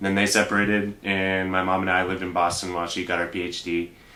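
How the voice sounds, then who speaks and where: Audible room echo around a man's very deep, low voice. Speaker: bank translator. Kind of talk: interview. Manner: hesitant.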